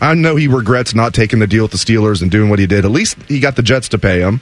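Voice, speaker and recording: Talking very fast, a man holds a medium pitch with ordinary pitch variation. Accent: American. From Southwest Ohio, Dayton area. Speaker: sports radio fill-in host. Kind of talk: sports talk radio.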